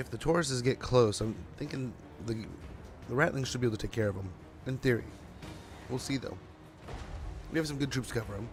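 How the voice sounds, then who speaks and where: The speech runs at a very fast pace with ordinary pitch variation, broken by long, frequent pauses. Music plays in the background. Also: man, medium pitch for a man. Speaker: gaming streamer. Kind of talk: live gameplay commentary. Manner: casual, chatty.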